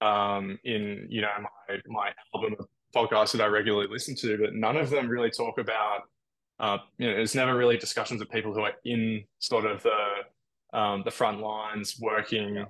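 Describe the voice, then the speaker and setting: With an Australian accent, a man talks at a moderate pace in a fairly low pitch, his bright, sharp tone set in monotone, flat intonation. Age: 20s. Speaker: airline pilot. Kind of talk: casual chat.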